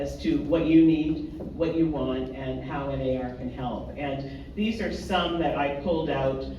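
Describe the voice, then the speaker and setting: A man speaking at a fairly slow pace with a slight Canadian accent, amid audible room echo and noticeable background noise. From Canada. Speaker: real estate association representative. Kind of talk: presentation to an audience. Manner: halting, many fillers.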